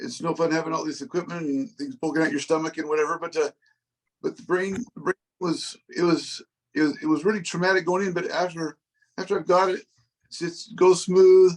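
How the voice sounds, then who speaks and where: This man speaks at a fairly quick pace in a high pitch, with ordinary pitch variation. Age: 60s. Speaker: Parkinson's patient with deep brain stimulation. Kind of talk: support group Q&A. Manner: halting, many repetitions.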